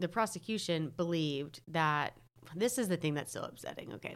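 In a very clean recording with a silent background, an unremarkable speaking voice keeps a moderate speed and a lively intonation. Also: woman. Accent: American. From North Carolina. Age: 30s. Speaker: podcast guest. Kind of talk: casual chat.

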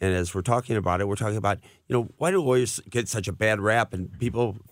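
A man with an American accent talks at a fairly quick pace in a normal speaking voice, fairly low in pitch with ordinary pitch variation. The recording is very clean, with a silent background. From US Midwest, St. Louis area (Missouri). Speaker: personal injury lawyer. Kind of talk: radio interview. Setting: radio studio.

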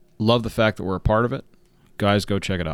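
In a very clean recording with a silent background, a man speaks with an American accent in a normal speaking voice. His pitch is fairly low, with ordinary variation. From southern California. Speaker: podcast co-host. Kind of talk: casual chat.

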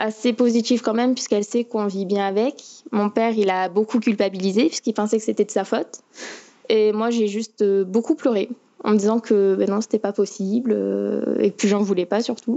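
A woman's plain, everyday voice, fairly high in pitch, at a moderate pace with very even loudness and fairly even intonation. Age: young. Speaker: diabetic patient. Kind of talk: remote interview. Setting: remote call.

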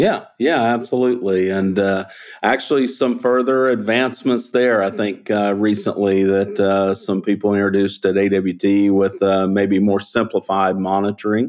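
With a Southern US accent, the speaker keeps a moderate pace with hardly any pauses, very even loudness and fairly even intonation, on a very clean recording with a silent background. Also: man, fairly low pitch for a man. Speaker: chemical industry executive and polymer expert. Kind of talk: interview explaining technical topics. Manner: clear, easy to follow.

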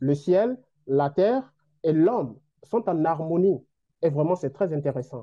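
This man talks at a fairly slow pace with lively intonation. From Benin. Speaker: doctoral student. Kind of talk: interview. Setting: video call.

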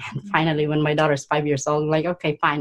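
A woman speaks with a very deep, low pitch. The sound is dry and close, with no echo. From Philippines. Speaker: energy healer and coach. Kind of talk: interview.

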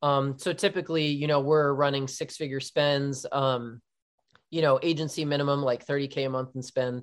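A man speaks in an American accent with a plain, everyday voice, fairly high in pitch and fairly even in intonation. The recording is very clean with a silent background. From New Jersey, Philadelphia area. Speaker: digital marketing agency owner. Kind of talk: podcast interview.

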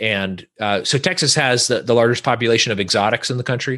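This speaker has an American accent, a bright, sharp tone and ordinary pitch variation against a quiet background. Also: man. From California, Central Valley. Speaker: podcaster, community organizer. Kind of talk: casual chat.

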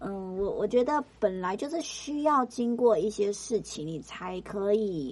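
A woman's plain, everyday voice at medium pitch, fairly slow yet with hardly any pauses, and lively intonation. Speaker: podcast co-host, entertainment and arts industry worker. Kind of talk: casual chat.

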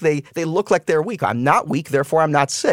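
A man talks at a very fast pace with a fairly high pitch. The sound is dry and close, with no echo. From Uzbekistan, Tashkent; moved to US at eleven. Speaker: fitness entrepreneur, chief operating officer. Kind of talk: interview conversation. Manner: hesitant, many fillers.

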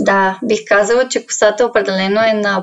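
Here is a woman with an ordinary speaking voice. She keeps a moderate pace and ordinary pitch variation. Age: 20s. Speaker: social media influencer. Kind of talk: casual interview.

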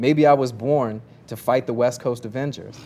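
A man with an American accent speaks at a fairly quick pace, his pitch medium and its variation ordinary. His tone is dark and mellow. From Kentucky, US. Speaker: recording artist, rapper. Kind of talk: roundtable discussion.

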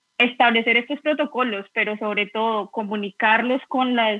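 A woman speaks with a fairly high pitch. Her intonation stays monotone and flat. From Colombia, Bogotá. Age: 30s. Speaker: professional footballer and conversation moderator. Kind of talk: casual chat.

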